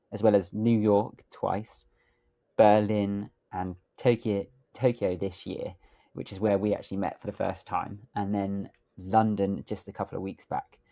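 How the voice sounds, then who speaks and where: Recorded very cleanly against a silent background, a man with a British accent speaks at a moderate pace in a fairly low pitch, his intonation monotone and flat and his tone dark and mellow. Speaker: podcast host. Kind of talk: podcast interview question.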